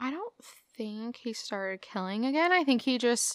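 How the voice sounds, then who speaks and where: A woman uses a normal speaking voice with lively intonation. She talks at a fairly slow pace. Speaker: co-host. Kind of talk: casual chat.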